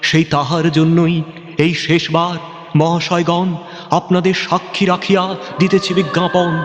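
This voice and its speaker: Noticeable background noise surrounds a man's voice. He speaks at a high pitch with very even loudness. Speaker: recitation artist. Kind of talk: poetry reading.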